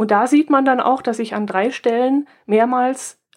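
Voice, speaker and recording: With ordinary pitch variation and a moderate tempo, a woman talks in an unremarkable speaking voice. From southern Germany near Austrian and Swiss border. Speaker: podcast co-host. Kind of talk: casual chat.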